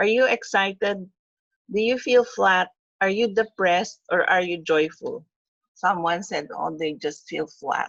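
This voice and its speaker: A woman with an ordinary speaking voice talks at a fairly slow pace. Her pitch is medium, with ordinary pitch variation. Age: 60s. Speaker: webinar lecturer. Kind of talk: webinar lecture.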